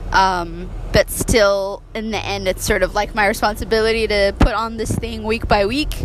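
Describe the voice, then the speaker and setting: Amid noticeable background noise, a woman talks at a moderate pace with hardly any pauses. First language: Amharic. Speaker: podcaster and community program organizer. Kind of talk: casual vlog monologue. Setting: in a car.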